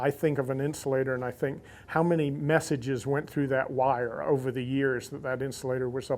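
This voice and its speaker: In a very clean recording with a silent background, a man with a plain, everyday voice and an American accent speaks at medium pitch and a moderate pace, with fairly even intonation. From US South, Central Florida (Lakeland). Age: 60s. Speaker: insulator collector. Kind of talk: interview monologue.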